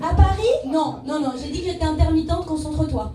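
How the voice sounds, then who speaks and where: A woman's moderate-paced voice carries audible room echo amid noticeable background noise. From French Pyrenees. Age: 30s. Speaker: comedian. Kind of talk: stand-up. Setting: stage with audience.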